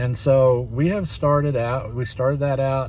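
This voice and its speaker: A man speaks in a somewhat breathy voice. The room echo is audible. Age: 60s. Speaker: reseller, channel owner. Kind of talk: casual talk-to-camera tutorial. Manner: halting, many fillers.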